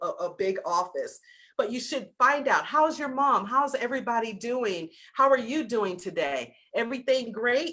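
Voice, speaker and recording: This woman's voice is high-pitched, bright and sharp, with an animated tone and lively intonation. She talks at a moderate pace with a slight Southern US accent. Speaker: business coach. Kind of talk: lecture.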